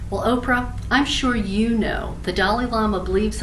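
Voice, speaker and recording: There is noticeable background noise in this clip. A woman talks at a moderate pace. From New Orleans. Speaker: radio show host. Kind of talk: audition pitch to camera.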